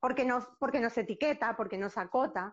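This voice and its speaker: A woman talks at a fairly quick clip with lively intonation. Her pitch sits high. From Uruguay. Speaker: acupuncturist. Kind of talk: casual interview chat. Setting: Instagram live video call. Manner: hesitant, with frequent repetitions.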